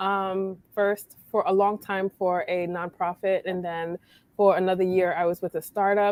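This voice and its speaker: A woman with a New York accent speaks in a medium-pitched voice. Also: dry, close sound with no echo. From New York, Brooklyn. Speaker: blogger. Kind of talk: casual chat.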